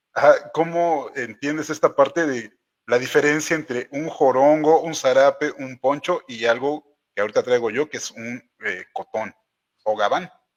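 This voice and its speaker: A plain, everyday voice at a fairly slow pace, with big swings in loudness and a dry, close sound with no echo. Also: man, fairly high pitch for a man, ordinary pitch variation. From Oaxaca, Mexico. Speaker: show host. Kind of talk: casual interview conversation. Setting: live stream.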